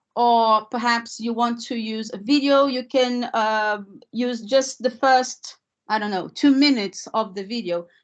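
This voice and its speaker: Spoken at a fairly slow pace with a non-native accent, the voice keeps a fairly even intonation over a quiet background. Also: woman, fairly high pitch for a woman. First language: not English. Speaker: language teacher trainer. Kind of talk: webinar presentation. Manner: hesitant, many fillers.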